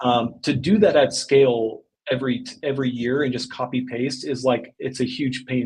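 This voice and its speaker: A man talks with an American accent at a medium pitch. His voice is somewhat breathy. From US South, Arkansas. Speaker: e-commerce agency owner. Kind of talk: podcast interview.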